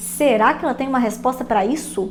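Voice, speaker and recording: Noticeable background noise beneath ordinary pitch variation. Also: woman. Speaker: online business coach. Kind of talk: casual podcast-style tutorial. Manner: animated.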